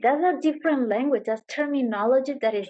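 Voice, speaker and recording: Her intonation is lively. The woman speaks in a Spanish accent. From Venezuela. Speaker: yoga teacher. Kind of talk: interview answer.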